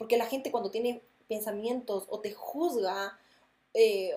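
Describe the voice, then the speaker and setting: A woman's fairly high-pitched voice at a moderate pace, with fairly even intonation. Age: 20s. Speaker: podcast host. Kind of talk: casual monologue.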